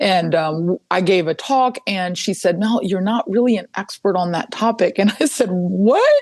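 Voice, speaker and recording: A woman's medium-pitched voice with ordinary pitch variation, a moderate pace, hardly any pauses, and a dry, close sound with no echo. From Mexico and rural South Texas. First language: Spanish. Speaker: environmental lawyer. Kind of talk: podcast interview.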